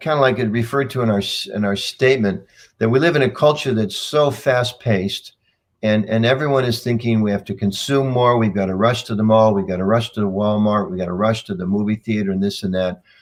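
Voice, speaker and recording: A man with a fairly low pitch and ordinary pitch variation at a very fast pace. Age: 60s. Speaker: communications leader in a religious community. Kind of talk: interview over video call. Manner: halting, many repeated words.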